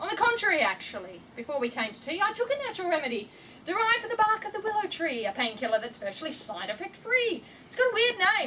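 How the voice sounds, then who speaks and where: Extremely high-pitched, raised and projected female speech at a very fast pace, with very wide pitch swings, big jumps in loudness and noticeable background noise. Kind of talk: poetry reading. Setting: live event.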